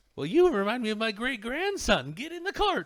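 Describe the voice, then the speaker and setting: Here a man uses a put-on character voice at an extremely high pitch. He swings his pitch very widely and moves at a fairly quick pace. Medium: actual play. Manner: repetitive, coaxing.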